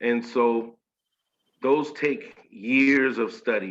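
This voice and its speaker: A man speaks with a slight Southern US accent. His pace is very slow. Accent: slight Southern drawl. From Washington State, US. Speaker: spiritual initiate. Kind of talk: interview.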